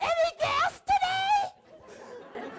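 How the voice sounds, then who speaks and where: A put-on character voice comes out loud, squeaky and extremely high in pitch. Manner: too loud.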